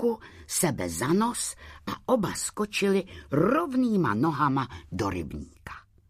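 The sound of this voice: The reading voice heard here is unforced.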